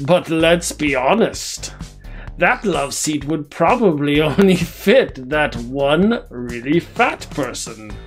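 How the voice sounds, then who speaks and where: In a put-on character voice at a low-to-middle pitch, the speaker goes at a very slow pace. Clear music plays in the background. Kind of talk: comedic monologue to camera. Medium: role play. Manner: grandiose, pompous.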